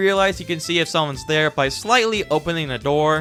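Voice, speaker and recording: With music in the background, a man delivers his words at a fairly quick pace. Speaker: gaming video creator. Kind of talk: casual game review talk to camera.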